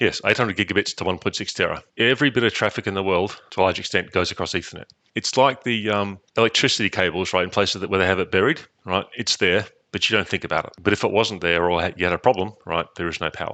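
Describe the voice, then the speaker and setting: Bright and sharp in tone, a man with an Australian accent speaks at a very fast pace and a fairly low pitch. His pitch varies in an ordinary way over a quiet background. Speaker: network engineer. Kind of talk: interview.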